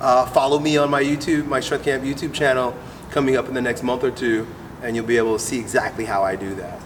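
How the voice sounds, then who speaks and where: Very fast speech from a man at medium pitch, ordinary pitch variation, noticeable background noise. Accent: American. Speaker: strength coach. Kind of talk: casual interview. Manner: animated.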